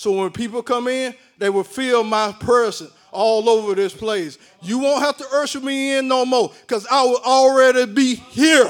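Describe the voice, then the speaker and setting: A man's extremely high voice at a moderate pace, with ordinary pitch variation. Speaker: lay prophetic minister. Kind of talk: prophecy.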